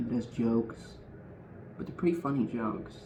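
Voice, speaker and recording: A soft-spoken man at a medium pitch talks over noticeable background noise, with audible echo from the room. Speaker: streamer. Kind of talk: casual chat. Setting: home, quiet because of thin walls.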